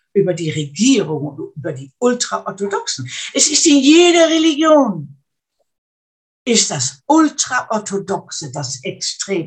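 A woman speaks at a very slow pace. Her fairly high pitch moves in very wide swings. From Netherlands (Arnhem). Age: 80s+. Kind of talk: interview. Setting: video call. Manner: halting, repeats words.

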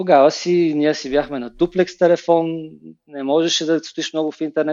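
A man's fairly high voice, flat and monotone, at a fairly quick pace. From Bulgaria, Plovdiv. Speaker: web designer and creative director. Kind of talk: interview. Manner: halting, many filler sounds.

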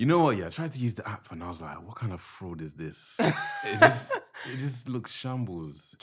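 Over music in the background, a man speaks at a moderate pace with very wide pitch swings and big swings in loudness. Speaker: podcast guest, photographer. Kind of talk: casual slang.

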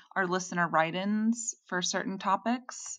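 At a fairly slow pace, a woman with a plain, everyday voice speaks with ordinary pitch variation. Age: 30s. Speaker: podcast co-host. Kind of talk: casual chat.

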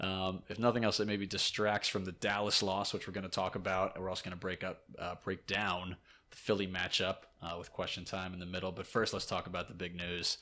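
Bright and sharp in tone, the voice moves at a fairly quick pace with flat, monotone intonation on a very clean recording against a silent background. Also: man, very deep, low pitch for a man. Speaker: podcast host. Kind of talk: casual banter, sports podcast. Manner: teasing, banter.

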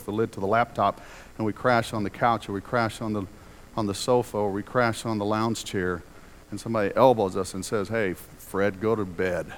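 A man of fairly low pitch with a plain, everyday voice and fairly even intonation. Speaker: preacher. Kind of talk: sermon. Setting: church.

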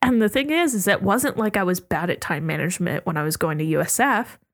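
A woman with an American accent speaks in an animated tone. Her pitch sits in the medium range. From US, Oregon and Virginia. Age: 20s. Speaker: architecture student. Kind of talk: casual chat.

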